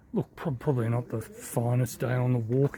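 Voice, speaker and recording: A man with a medium pitch speaks in a dark, mellow tone that is somewhat breathy. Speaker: walking vlogger. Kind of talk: travel vlog narration. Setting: outdoors walking. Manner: quiet; hesitant, many fillers.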